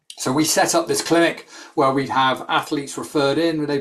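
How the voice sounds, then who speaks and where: This man has a British accent and a fairly high pitch. He keeps a moderate pace with fairly even intonation. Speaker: sports nutrition scientist. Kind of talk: expert talk in a webinar. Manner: hesitant with many ums.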